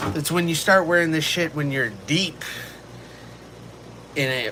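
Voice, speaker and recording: A man with an American accent talks at a moderate pace in a fairly high pitch, with noticeable background noise behind him. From Texas. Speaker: streamer. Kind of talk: casual live stream chat. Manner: animated.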